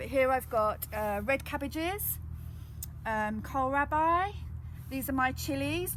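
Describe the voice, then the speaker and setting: A woman with an English accent speaks at a fairly slow pace in a room with audible echo. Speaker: gardening educator. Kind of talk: live gardening demonstration. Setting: outdoors in a garden, live stream. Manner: loud.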